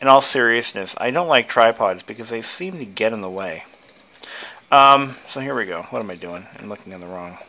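Fairly quick speech in an American accent, with lively intonation and big swings in loudness. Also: man, medium pitch for a man. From United States. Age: 20s. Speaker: tech video creator. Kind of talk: casual demo walkthrough; casual vlog chat. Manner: hesitant with fillers. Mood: playful, joking. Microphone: phone near.

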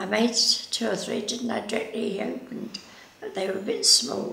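The speech moves at a moderate pace amid audible room echo and light background noise. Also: woman. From Scottish Borders. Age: 80s+. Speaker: knitter, yarn bomber. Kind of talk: interview answer. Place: home room.

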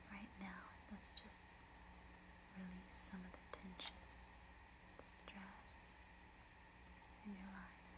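Through loud background noise, a soft-spoken woman whispers in a soothing tone, with long, frequent pauses. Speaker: relaxation video host. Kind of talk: soft soothing personal attention talk. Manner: soft soothing whisper, slow pace. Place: home room. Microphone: phone near.

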